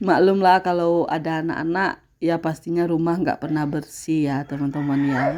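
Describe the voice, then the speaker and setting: A woman's fairly low voice at a moderate pace, with fairly even intonation, in a very clean recording with a silent background. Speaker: housewife vlogger. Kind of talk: voice-over narration of daily vlog. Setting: home, dubbed voice-over. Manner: casual, hesitant with fillers.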